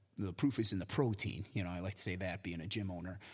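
Somewhat breathy delivery with an American accent, fairly even intonation and a fairly quick pace. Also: man, very clean recording, silent background. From US Midwest, near Chicago. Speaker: podcast co-host, gym owner and fitness trainer. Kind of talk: casual chat.

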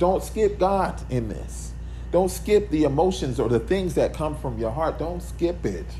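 Audible room echo around a man's fairly slow speech. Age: 40s. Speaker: podcast host. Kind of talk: solo motivational monologue. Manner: casual, conversational.

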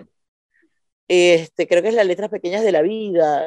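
A woman speaks at a medium pitch with a Venezuelan accent and fairly even intonation. Her tone is dark and mellow, and the sound is dry and close with no echo. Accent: Venezuelan, kept in Buenos Aires. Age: 40s. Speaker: stand-up comedian. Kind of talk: casual chat.

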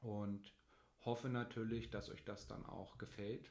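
Speaking at a very slow pace, this man has a medium pitch. His intonation is fairly even. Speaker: family blogger and podcast co-host. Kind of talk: casual chat.

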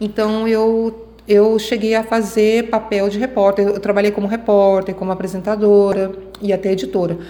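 Monotone, flat intonation at a moderate pace over noticeable background noise. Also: woman, medium pitch for a woman. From Goiânia, Brazil. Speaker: radio and TV journalist. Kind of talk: interview.

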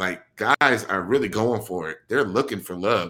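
On a very clean recording with a silent background, a man speaks with an American accent. His fairly low voice has a bright, sharp tone and ordinary pitch variation. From Milwaukee, Wisconsin. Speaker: podcast host. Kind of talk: casual chat. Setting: live stream.

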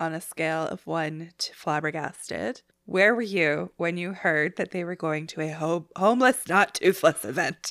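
In a Canadian accent, a woman with a fairly low pitch talks in a plain, everyday voice with ordinary pitch variation and hardly any pauses, in a dry, close sound with no echo on a very clean recording with a silent background. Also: moderate pace. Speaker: podcast host, TV recapper. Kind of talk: casual chat, recap podcast.

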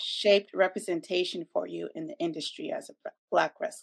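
A woman speaks at a moderate pace, the sound dry and close with no echo. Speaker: co-host, interviewer. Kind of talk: casual interview.

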